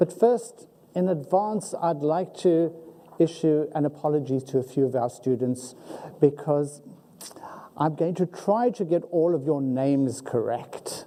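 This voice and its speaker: The speaker has a strong South African accent and talks at a fairly slow pace. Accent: South African, heavy. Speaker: university faculty member, ceremony emcee. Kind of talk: ceremony hosting. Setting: auditorium with audience.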